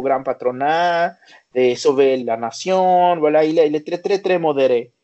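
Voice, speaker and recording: At a fairly slow pace, a man speaks in a Spanish accent. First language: Spanish (speaking French). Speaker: interviewee on Mexico. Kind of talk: interview. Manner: halting.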